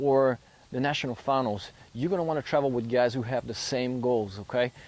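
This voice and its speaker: Speaking with a French accent, a man holds a medium pitch and fairly even intonation. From France. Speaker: rodeo athlete. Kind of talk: tutorial.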